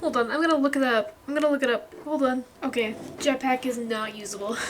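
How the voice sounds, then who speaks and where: Soft-spoken and high-pitched, a woman talks at a moderate pace with ordinary pitch variation over noticeable background noise. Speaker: gaming video creator. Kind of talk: casual gameplay chat. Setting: home recording alone in room. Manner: quiet, soft-spoken.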